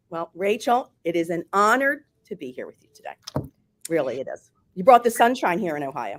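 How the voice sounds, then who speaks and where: The speaker talks at a moderate pace in a Philadelphia accent. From US, Philadelphia. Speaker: former hotel marketing executive. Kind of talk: interview.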